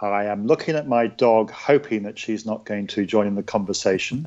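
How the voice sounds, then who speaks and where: This is a man speaking with an English accent. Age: 60s. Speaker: ultra distance runner. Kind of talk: interview. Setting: at home in kitchen.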